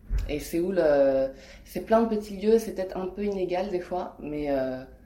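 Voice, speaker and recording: With lively intonation and a fairly low pitch, a woman speaks at a fairly slow pace amid audible room echo. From France. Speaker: artist and illustrator. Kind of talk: interview. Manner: hesitant, many fillers.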